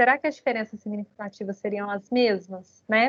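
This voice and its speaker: The recording of this woman has a dry, close sound with no echo. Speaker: university statistics lecturer. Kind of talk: lecture. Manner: fast; energetic.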